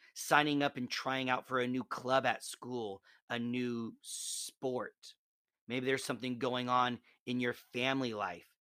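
In a Midwestern American accent, a man talks at a fairly slow pace with flat, monotone intonation and a bright, sharp tone. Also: medium pitch for a man, dry, close sound with no echo. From Nebraska. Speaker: podcast host giving Bible reflections. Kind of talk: devotional talk.

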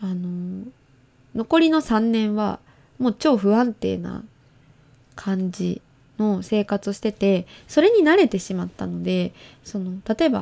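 A woman's animated voice at a fairly slow pace, broken by long, frequent pauses, over a very clean, silent background. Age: 20s. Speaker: podcast host. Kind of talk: casual chat.

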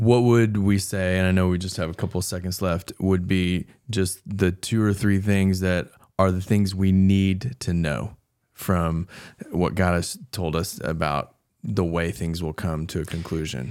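A man speaks with a very deep, low pitch and fairly even intonation. His pace is fairly slow. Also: very clean recording, silent background. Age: 40s. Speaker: pastor, podcast host. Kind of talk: casual panel discussion on faith questions.

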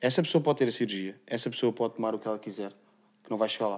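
On a very clean recording with a silent background, a man speaks at a very fast pace. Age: 30s. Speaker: MMA athlete and gym owner. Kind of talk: casual interview.

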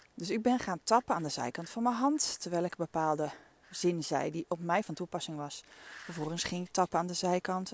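The voice moves at a moderate pace with ordinary pitch variation, in a dry, close recording with no echo and a very clean, silent background. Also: woman. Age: 50s. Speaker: coach and podcast host. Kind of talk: reflective solo monologue. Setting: outdoors, walking in the dunes. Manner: casual, with frequent fillers.

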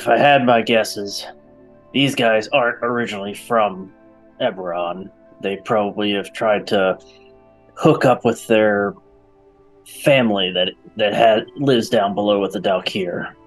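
A man's put-on character voice, fairly low in pitch, with long, frequent pauses and faint music in the background. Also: fairly slow pace. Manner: gruff, boastful, casual.

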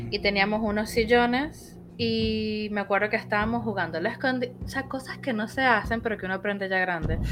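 A woman talks at a fairly quick pace with a Venezuelan accent and hardly any pauses. Her pitch is medium, with ordinary variation. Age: 30s. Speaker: podcast host. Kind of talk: personal storytelling.

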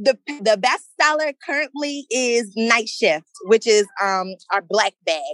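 A woman's fairly high voice with very wide pitch swings at a very slow pace, dry and close with no echo, music in the background. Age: 20s. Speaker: nursing student and small business owner. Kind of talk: interview.

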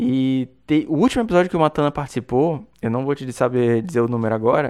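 A man talks at a moderate pace and medium pitch with ordinary pitch variation against a quiet background. It is a normal speaking voice. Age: 30s. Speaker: podcast host, card game player. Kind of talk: interview, casual chat.

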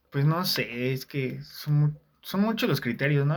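A man with a Mexican accent speaks in a somewhat breathy voice at a fairly high pitch. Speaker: communication student. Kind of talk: casual chat.

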